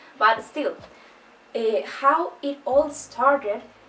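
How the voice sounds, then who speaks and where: There is noticeable noise in the background. The speaker has a non-native accent. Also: woman. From Chile. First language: Spanish. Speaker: book youtuber. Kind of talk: casual vlog talk. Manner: slow, careful.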